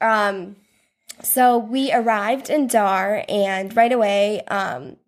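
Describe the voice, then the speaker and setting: A woman speaks with an Upper Midwest accent and ordinary pitch variation. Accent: Upper Midwest American. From US Midwest, South Dakota. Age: 20s. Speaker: tax accountant, visitor on a mission trip. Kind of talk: casual interview chat. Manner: hesitant, many fillers.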